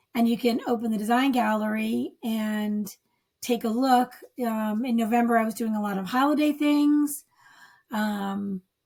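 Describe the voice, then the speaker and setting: Somewhat breathy, a woman speaks at a moderate pace. Her fairly high pitch shows ordinary variation. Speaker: author marketing coach. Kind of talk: tutorial. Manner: casual, filler-heavy.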